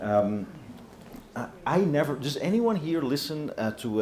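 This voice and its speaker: The speech is fairly slow, with very wide pitch swings. Background noise is noticeable. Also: man. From Europe. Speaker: panel moderator, journalist. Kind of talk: panel moderation.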